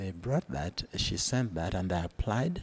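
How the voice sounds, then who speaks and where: This man's voice is somewhat breathy and moves through very wide pitch swings. The sound is dry and close, with no echo. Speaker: retired accounts and finance practitioner. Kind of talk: interview answer.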